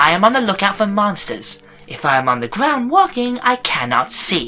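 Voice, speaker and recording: A squeaky, put-on character voice sits at a middle pitch with very wide pitch swings. It moves at a moderate pace over faint music in the background. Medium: audio drama. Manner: talkative, cheeky.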